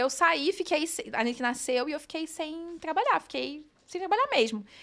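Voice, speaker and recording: This woman's tone is bright and sharp. Her intonation is lively. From Brazil, Rio de Janeiro state (Nova Friburgo, then Rio). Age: 30s. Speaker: designer and digital entrepreneur, mother. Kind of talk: podcast interview, casual chat.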